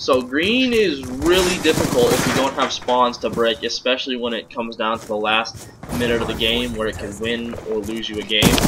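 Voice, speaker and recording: Over noticeable background noise, a man at medium pitch talks at a moderate pace with hardly any pauses. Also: ordinary pitch variation. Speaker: competitive gamer giving gameplay commentary. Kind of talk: gameplay commentary tutorial. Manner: halting, with repeated words.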